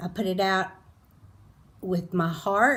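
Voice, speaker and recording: Speaking at a fairly slow pace, a woman with a medium-pitched voice is heard with audible room echo. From Colorado. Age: 60s. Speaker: beauty vlogger. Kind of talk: casual monologue while doing makeup. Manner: halting.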